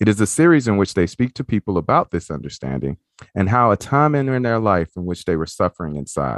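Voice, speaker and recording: A man with a Southern US accent talks very fast in a warm, upbeat tone, his fairly low pitch swinging very widely. The sound is dry and close with no echo, over a quiet background. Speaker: podcast host. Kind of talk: podcast interview, casual chat.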